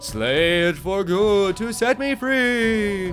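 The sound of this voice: With clear music in the background, a man does a high-pitched put-on character voice at a very slow pace.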